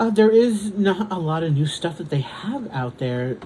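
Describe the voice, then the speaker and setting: A man's voice at a fairly slow pace, over noticeable background noise. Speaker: diamond painting content creator. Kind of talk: casual chat. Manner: halting.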